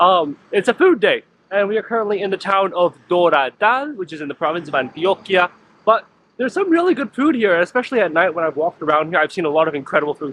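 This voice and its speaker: Sounding animated, a man talks at a very fast pace in a high voice with very wide pitch swings and a dry, close sound with no echo. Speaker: travel food vlogger. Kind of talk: vlog narration.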